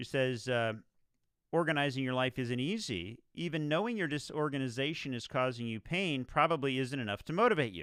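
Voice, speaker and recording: With lively intonation and a fairly quick pace, a man speaks at medium pitch in an unremarkable speaking voice. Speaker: radio show host. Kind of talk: live radio show host monologue.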